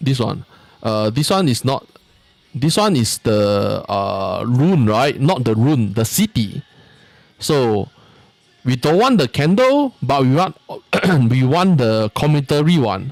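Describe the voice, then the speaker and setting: With music in the background, a man in a Singaporean accent speaks very slowly at a medium pitch with lively intonation. He keeps his loudness very even and takes long, frequent pauses. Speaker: video game streamer. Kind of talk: live gameplay stream commentary. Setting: live stream. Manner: casual, halting with fillers.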